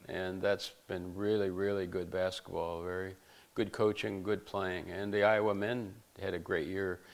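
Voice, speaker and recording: At a moderate pace, a man with an American accent speaks in a fairly low pitch with monotone, flat intonation. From US East. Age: 80s+. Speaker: retired basketball coach. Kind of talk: interview. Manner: halting.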